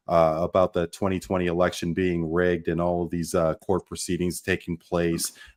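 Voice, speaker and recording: In a Canadian accent, a man with a very deep, low pitch speaks at a moderate pace. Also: quiet background. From Canada. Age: 40s. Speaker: sports podcast host. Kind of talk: roundtable discussion. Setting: live stream. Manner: halting, many fillers.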